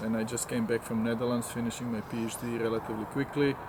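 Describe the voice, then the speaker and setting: A man with a medium-pitched voice talks amid clearly audible background noise. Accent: Croatian. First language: Croatian. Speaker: scientist and course organizer. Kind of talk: interview. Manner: halting.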